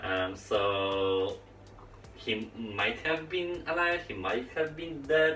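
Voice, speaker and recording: Very slow speech from a man at medium pitch in a Polish accent, with very wide pitch swings, audible room echo and light background noise. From Poland, Olsztyn area. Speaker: gaming YouTuber. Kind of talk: storytime vlog while playing VR. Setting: home recording, VR headset. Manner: halting, many fillers. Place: home room.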